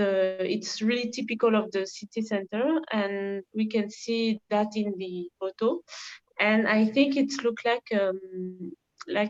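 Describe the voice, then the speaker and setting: In a French accent, a woman speaks at a fairly slow pace and fairly high pitch with ordinary pitch variation. The sound is dry and close, with no echo. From France, Paris. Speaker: volunteer. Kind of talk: presentation. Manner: halting.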